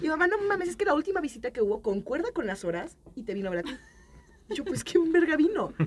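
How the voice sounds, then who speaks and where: Over noticeable background noise, a woman speaks very fast in a high pitch, with very wide pitch swings and big swings in loudness. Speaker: podcast panelist. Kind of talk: casual chat.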